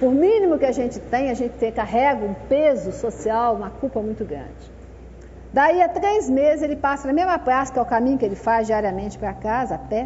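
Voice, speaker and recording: Over noticeable background noise and audible room echo, a woman speaks at a fairly quick pace in a high pitch with lively intonation. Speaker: social worker leading a spiritist workshop. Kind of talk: lecture-style workshop talk.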